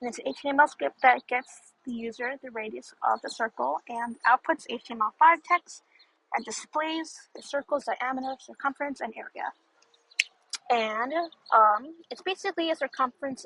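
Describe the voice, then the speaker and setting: A woman's raised, projected voice with a bright, sharp tone and a high pitch, big swings in loudness, ordinary pitch variation and a moderate pace. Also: dry, close sound with no echo. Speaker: student presenting homework. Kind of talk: tutorial. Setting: outdoors. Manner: mumbly; halting.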